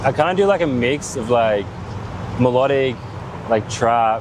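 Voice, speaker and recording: Amid noticeable background noise and audible room echo, a man with an Australian accent speaks with lively intonation. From Australia, Sydney. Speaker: dubstep producer and DJ. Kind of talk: interview. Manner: halting.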